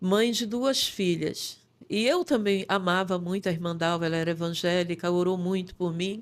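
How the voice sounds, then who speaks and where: A woman talks at a moderate pace and a medium pitch, with a plain, everyday voice and ordinary pitch variation. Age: 60s. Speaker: pastor. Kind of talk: testimony.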